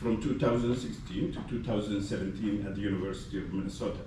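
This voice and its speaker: A man's voice comes through noticeable background noise and audible room echo. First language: Somali. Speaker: gastroenterology faculty physician. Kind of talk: ceremony speech. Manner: halting with many fillers.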